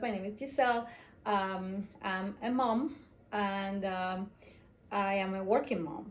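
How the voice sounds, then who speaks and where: A medium-pitched woman's voice with ordinary pitch variation and audible room echo. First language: Spanish. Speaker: home bartender. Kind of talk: casual tutorial. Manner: hesitant, many fillers.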